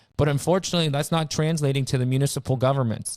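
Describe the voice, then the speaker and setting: Recorded very cleanly against a silent background, a man with a fairly high pitch uses an ordinary speaking voice and fairly even intonation. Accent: Canadian. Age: 30s. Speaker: realtor. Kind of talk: casual chat. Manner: fast, with many repeated words.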